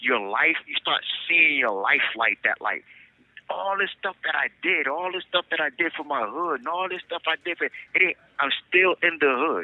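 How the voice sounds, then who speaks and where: Fairly high male voice at a moderate pace. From US Northeast, Newark New Jersey. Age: 50s. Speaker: incarcerated man. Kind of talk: podcast interview. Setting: phone call.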